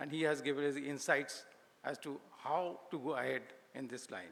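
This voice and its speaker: Over noticeable background noise, a man talks in a fairly high voice with fairly even intonation. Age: 70s. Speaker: senior industry figure. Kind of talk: closing speech. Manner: halting, many fillers.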